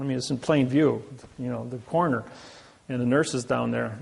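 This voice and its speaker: A man speaks in a Midwestern American accent. His medium-pitched voice keeps a fairly even intonation. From US Midwest, Indiana. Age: 60s. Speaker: lecturer. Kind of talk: presentation.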